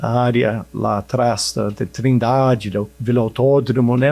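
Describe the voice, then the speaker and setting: Here a man speaks with an English accent at a medium pitch. His tone is dark and mellow, his intonation fairly even. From England. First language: English (speaking Portuguese). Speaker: social project leader. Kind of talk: podcast interview. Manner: halting.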